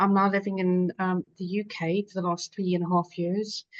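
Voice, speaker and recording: A woman with a South African accent, medium pitch, and a moderate pace. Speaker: patient advocate, infection survivor. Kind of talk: webinar panel discussion.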